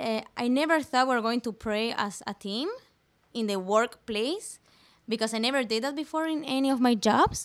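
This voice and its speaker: A high-pitched woman with a Spanish accent, at a moderate pace with ordinary pitch variation. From Venezuela. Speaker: church summer intern. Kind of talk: casual interview chat.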